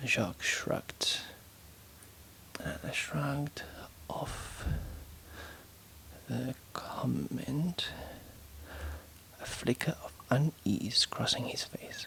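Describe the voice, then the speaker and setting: Whispering at a very slow pace, the speaker has a gentle tone. Long, frequent pauses break up the speech. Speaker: author reading and editing her own novel. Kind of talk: ASMR proofreading and reading aloud. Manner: soft-spoken, whispered, gentle.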